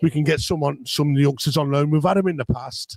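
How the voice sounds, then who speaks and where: The voice is somewhat breathy. The pace is fairly quick. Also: man, dry, close sound with no echo. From Coventry, English West Midlands. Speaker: football fan. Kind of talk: casual chat. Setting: hotel, live stream. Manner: halting.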